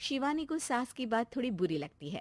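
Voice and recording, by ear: A woman speaks with a slightly mellow tone at a fairly high pitch. Her voice moves in big pitch swings, and the sound is dry and close with no echo.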